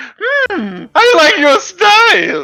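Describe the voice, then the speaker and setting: An extremely high, squeaky put-on character voice comes through with faint music in the background. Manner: approving, grand.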